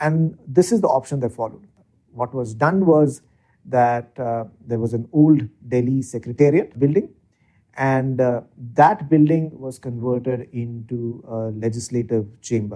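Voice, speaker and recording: A man with an Indian accent speaks at a fairly slow pace. His voice is dark and mellow, medium in pitch, with ordinary pitch variation. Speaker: legislative research expert. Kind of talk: interview explanation. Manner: hesitant with filler words.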